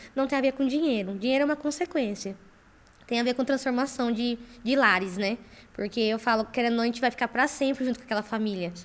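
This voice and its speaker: A woman speaks at a very fast pace in a high pitch. Her pitch variation is ordinary. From Campo Grande, Mato Grosso do Sul, Brazil. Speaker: startup founder, engineer. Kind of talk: podcast interview.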